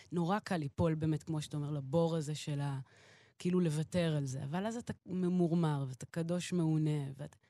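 A woman with a very deep, low pitch speaks at a fairly quick pace with fairly even intonation and a dark, mellow tone. The sound is dry and close with no echo, over a quiet background. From Israel, partly raised in Queens, New York. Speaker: jazz pianist and singer-songwriter. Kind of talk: interview.

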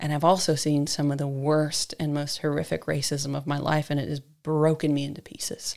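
A woman's very deep, low voice with an American accent, flat monotone intonation and a moderate pace. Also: very clean recording, silent background. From US, San Diego, California. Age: 40s. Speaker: digital marketer and public speaker. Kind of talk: casual interview chat.

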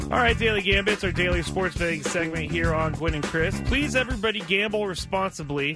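A man talks with a high-pitched voice. Music plays in the background. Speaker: sports radio co-host. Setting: radio studio.

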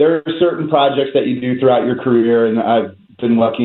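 A plain, everyday voice from a man, medium in pitch, with fairly even intonation and a fairly quick pace. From US Northeast, North Jersey. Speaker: documentary filmmaker. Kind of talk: interview.

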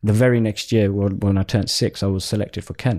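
Here a man speaks at a fairly low pitch in a London accent. His tone is dark and mellow. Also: very clean recording, silent background. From Southeast London. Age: 20s. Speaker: pro cricketer and entrepreneur. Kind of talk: casual interview.

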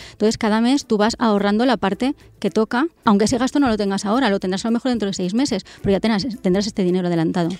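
Very fast speech with hardly any pauses and ordinary pitch variation, dry and close with no echo, on a very clean recording with a silent background. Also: woman, fairly high pitch for a woman. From northern Castellón, Spain. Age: 30s. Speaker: personal finance expert, website founder. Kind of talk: interview.

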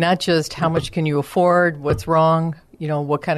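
A woman with an ordinary speaking voice and a fairly low pitch talks at a moderate pace with fairly even intonation against a quiet background. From Chicago area, US Midwest. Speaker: senior care business owner. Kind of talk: radio interview.

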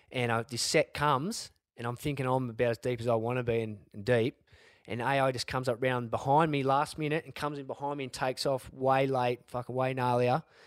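Recorded very cleanly against a silent background with a dry, close sound and no echo, a man with an Australian accent speaks fairly quickly at a medium pitch with fairly even intonation. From Australia, Sydney northern beaches. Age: 40s. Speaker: former pro surfer, world champion. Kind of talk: casual interview.

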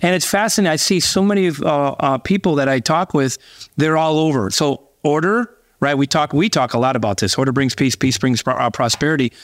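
A man with an ordinary speaking voice talks at a fairly quick pace, his fairly high pitch moving in lively intonation. The very clean recording has a silent background, a dry, close sound with no echo, and very even loudness. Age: 50s. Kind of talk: interview.

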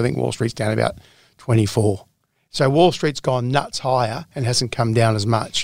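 A man in an Australian accent at medium pitch, with ordinary pitch variation and a fairly slow pace, in a very clean recording with a silent background. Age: 50s. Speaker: personal finance editor. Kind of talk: casual interview.

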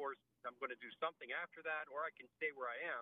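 A man with a normal speaking voice and a fairly high pitch talks at a fairly quick pace with ordinary pitch variation. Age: 50s. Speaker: caller. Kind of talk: call-in question. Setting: phone call.

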